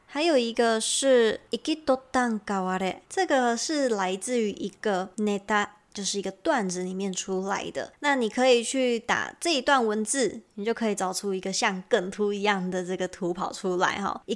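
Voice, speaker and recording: On a very clean recording with a silent background, a woman speaks at a moderate pace in a fairly high pitch with ordinary pitch variation. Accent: Taiwanese. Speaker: podcast host and Japanese teacher. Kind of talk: language lesson.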